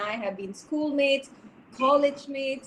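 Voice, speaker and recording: Noticeable background noise around a woman speaking at a moderate pace. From India, Coimbatore (Kerala family). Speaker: webinar speaker, corporate businesswoman. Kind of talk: webinar talk. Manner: animated.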